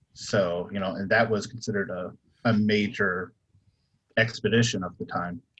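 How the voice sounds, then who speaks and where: Moderate pace from a man with an American accent, fairly low in pitch, with fairly even intonation and long, frequent pauses. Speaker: author on a convention panel. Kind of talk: panel discussion. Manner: hesitant, many fillers.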